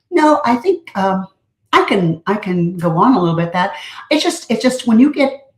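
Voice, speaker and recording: A somewhat breathy voice at a moderate pace. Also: woman. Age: 70s. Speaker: speaker. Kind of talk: interview.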